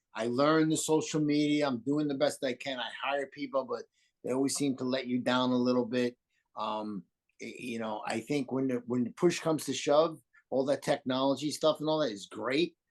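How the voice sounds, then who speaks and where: With a New York accent, a man talks at a moderate pace, his medium-pitched voice showing ordinary pitch variation. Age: 60s. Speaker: landscape designer. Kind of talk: interview.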